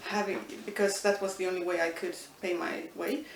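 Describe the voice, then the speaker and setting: A woman with an Estonian accent at a medium pitch and a fairly quick pace, with audible room echo and noticeable background noise. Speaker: linguistics professor. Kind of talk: interview. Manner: hesitant, many fillers.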